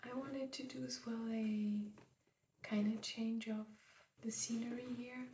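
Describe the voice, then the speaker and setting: A soft-spoken woman talks at a fairly slow pace with long, frequent pauses. Her voice is fairly high in pitch, with monotone, flat intonation. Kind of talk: ASMR makeup collection talk.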